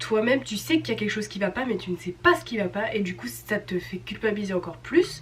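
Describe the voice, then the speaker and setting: Very fast and with hardly any pauses, a woman talks in a medium pitch with very wide pitch swings. Noticeable background noise runs underneath. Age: 20s. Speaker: au pair vlogger. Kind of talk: casual vlog chat. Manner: chatty, many hesitations.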